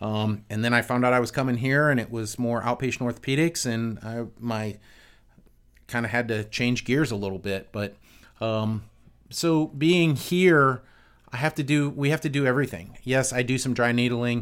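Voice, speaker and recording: A man with a plain, everyday voice, medium pitch and ordinary pitch variation at a moderate pace, in a very clean recording with a silent background. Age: 50s. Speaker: physical therapist and clinic owner. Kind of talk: casual chat.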